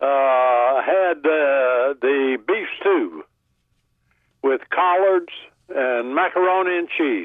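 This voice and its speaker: With very even loudness, a man speaks at a very slow pace in a fairly high pitch with ordinary pitch variation. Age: 90s. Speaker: caller. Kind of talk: call-in radio show. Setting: phone call.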